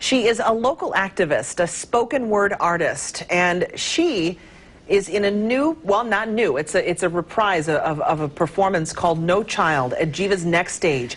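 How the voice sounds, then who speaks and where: With an ordinary speaking voice at a medium pitch, a woman talks at a fairly slow pace, using lively intonation and keeping her loudness very even. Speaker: TV news interviewer. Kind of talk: TV interview host talk.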